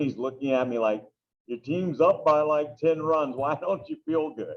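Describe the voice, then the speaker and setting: A plain, everyday voice from a man with fairly high pitch, fairly even intonation and moderate pace. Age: 40s. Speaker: teacher and youth baseball coach. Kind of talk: interview, personal testimony. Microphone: poor sound quality on his microphone.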